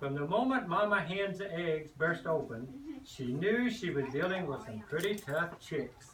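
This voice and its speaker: The speaker has a Kentucky accent and very wide pitch swings, moving at a fairly slow pace with hardly any pauses. Noticeable background noise can be heard. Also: man, high pitch for a man. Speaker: grandparent, farmer reading to children. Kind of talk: reading aloud to children. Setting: classroom.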